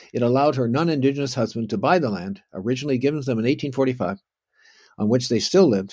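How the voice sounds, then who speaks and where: A man with a Canadian accent talks very fast in a dark, mellow tone with lively intonation. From Canada, Ontario (Oakville). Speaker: historian. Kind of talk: lecture. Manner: halting.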